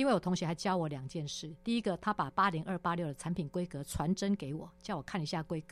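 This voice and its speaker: Speaking very fast with hardly any pauses, a woman uses a fairly low pitch with ordinary variation, captured in a very clean recording with a silent background. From Taiwan, Taipei (Wanhua). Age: 50s. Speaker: former tech company general manager. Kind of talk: interview. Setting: studio. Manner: animated.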